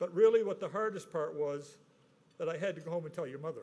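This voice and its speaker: At a fairly quick pace, a man talks in a high-pitched voice with a dark, mellow tone and ordinary pitch variation. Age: 70s. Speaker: award recipient. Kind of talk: acceptance speech. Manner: halting.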